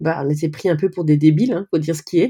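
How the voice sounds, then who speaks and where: A woman speaks in a dark, mellow tone. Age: 40s. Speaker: cosplayer. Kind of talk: casual interview.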